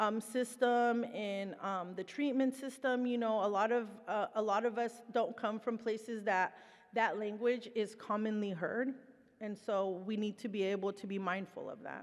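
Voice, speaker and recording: Speaking with a Spanish accent, a woman keeps a moderate pace, a fairly high pitch and fairly even intonation. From Mexico. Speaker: presenter, person in recovery. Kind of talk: conference presentation. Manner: casual, conversational.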